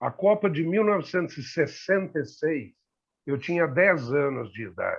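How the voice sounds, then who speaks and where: An unremarkable speaking voice moves at a moderate pace with lively intonation against a quiet background. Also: man, fairly high pitch for a man. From Brazil, São Paulo. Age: 60s. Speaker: talk show panelist. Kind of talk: casual discussion.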